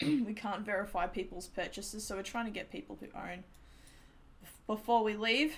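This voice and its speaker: A woman with an Australian accent speaks in a somewhat breathy, fairly high-pitched voice with long, frequent pauses. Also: ordinary pitch variation, moderate pace. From Australia, New South Wales. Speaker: game developer streamer. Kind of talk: live stream chat. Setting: at home computer, live stream. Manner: animated.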